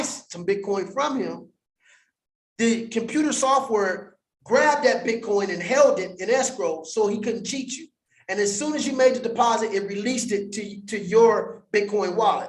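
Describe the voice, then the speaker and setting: Recorded with audible room echo, a man speaks in an animated tone at a high pitch. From US West Coast, Compton, California. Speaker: crypto educator. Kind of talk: livestream teaching monologue. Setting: livestream in front of green screen.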